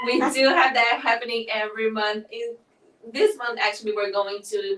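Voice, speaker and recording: Noticeable background noise runs under this voice. It speaks with a Portuguese accent and fairly even intonation. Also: woman. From southern Brazil. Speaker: nonprofit festival director. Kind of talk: interview conversation.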